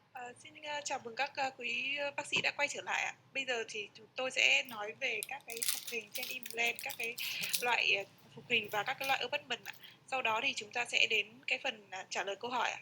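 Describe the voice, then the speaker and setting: Speaking at a fairly quick pace with a high pitch and ordinary pitch variation, a woman's loudness swings widely over noticeable background noise. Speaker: interpreter. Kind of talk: consecutive interpretation. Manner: too quiet. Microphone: mic issue, sounds too quiet.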